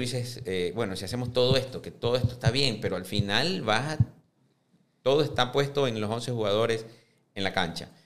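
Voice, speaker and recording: A man talks at a medium pitch and moderate pace, his pitch variation ordinary. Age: 50s. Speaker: businessman and football club presidential candidate. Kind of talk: interview. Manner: halting, frequent fillers and repetitions.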